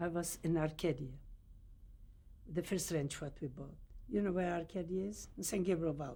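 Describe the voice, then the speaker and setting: A non-native accent, a dark, mellow tone and long, frequent pauses. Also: woman. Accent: foreign. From Poland. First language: Yiddish or Polish. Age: 80s+. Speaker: Holocaust survivor. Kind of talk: oral history interview. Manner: halting.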